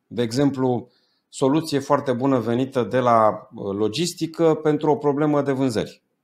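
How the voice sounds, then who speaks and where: Speaking at a moderate pace, a man keeps his loudness very even and his pitch variation ordinary. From Romania. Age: 40s. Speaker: business coach. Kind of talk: interview. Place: home room. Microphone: earbuds.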